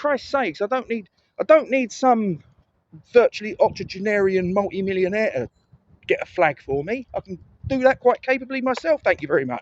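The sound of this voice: The sound is dry and close, with no echo. The speaker has lively intonation and a moderate pace. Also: man, high pitch for a man.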